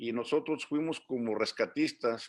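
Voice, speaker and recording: A man's medium-pitched voice, with pitch moving in an ordinary way, comes through against a quiet background. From Mexico, Durango. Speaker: migrant community leader. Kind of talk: interview. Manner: hesitant, many fillers.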